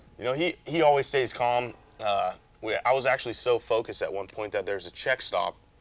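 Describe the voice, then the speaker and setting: At a fairly quick pace, a man talks in a medium pitch with ordinary pitch variation, a plain, everyday voice. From Las Vegas, Nevada. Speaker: off-road racing driver. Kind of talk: interview. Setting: race shop.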